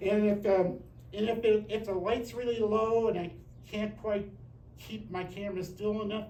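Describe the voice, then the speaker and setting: Audible room echo surrounds a man whose high voice stays monotone and flat at a moderate pace. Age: 70s. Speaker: nature photographer. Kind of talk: presentation Q&A. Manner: hesitant, repeats words.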